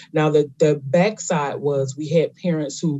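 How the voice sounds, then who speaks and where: A somewhat breathy man with a fairly high pitch and fairly even intonation. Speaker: homeschool program organizer. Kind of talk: interview.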